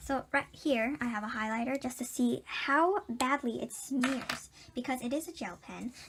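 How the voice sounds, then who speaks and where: Hardly pausing, a high-pitched woman talks at a moderate pace with ordinary pitch variation over noticeable background noise. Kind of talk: product review talk to camera.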